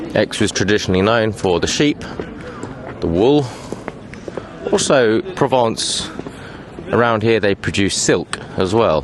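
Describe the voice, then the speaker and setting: A man with an English accent, lively in intonation yet very even in loudness, with long, frequent pauses and noticeable background noise. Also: medium pitch for a man, fairly slow pace. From England. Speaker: tour guide. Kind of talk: guided walking tour. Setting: outdoors at a street market. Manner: casual, relaxed.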